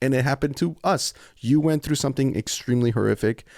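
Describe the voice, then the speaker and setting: Here a man talks at a very fast pace. The recording is very clean, with a silent background. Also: dry, close sound with no echo. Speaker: podcast co-host. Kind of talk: casual chat.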